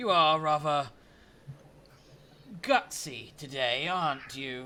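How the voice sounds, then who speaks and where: A put-on character voice from a man, fairly high in pitch, at a very slow pace. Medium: actual play. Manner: formal, condescending.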